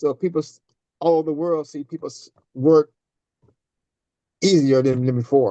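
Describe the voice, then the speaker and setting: A man speaks with an American accent at a moderate pace, his pitch fairly high and his intonation fairly even, with long, frequent pauses. His tone is dark and mellow, and the sound is dry and close with no echo. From US South, Tennessee. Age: 60s. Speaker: scale model car builder. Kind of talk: casual interview chat.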